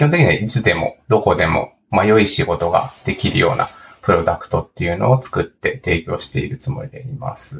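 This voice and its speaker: Here is a man with an unremarkable speaking voice. He talks at a moderate pace with lively intonation. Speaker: startup founder and CEO. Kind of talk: casual interview chat.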